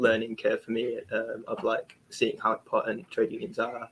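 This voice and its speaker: In a South Yorkshire accent, a man speaks at a moderate pace. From South Yorkshire (Barnsley). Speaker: young trade union activist. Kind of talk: webinar panel discussion.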